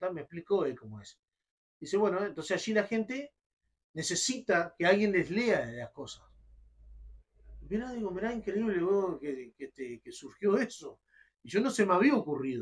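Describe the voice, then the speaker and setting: A man with a Uruguayan accent speaks at a moderate pace and high pitch, with very wide pitch swings. His loudness swings widely, and he leaves long, frequent pauses. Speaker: radio announcer and poetry reciter. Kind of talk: interview answer.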